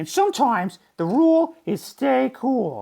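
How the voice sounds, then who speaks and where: Using a put-on character voice, a man speaks high for a man at a fairly slow pace, his pitch swinging very widely. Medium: read story. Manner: gentle, patient.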